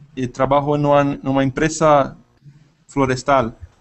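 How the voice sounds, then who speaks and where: With music playing in the background, a man talks in a fairly high pitch. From Brazil, São Paulo. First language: Portuguese (speaking Spanish). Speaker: language student, biologist. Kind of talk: language class conversation. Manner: halting.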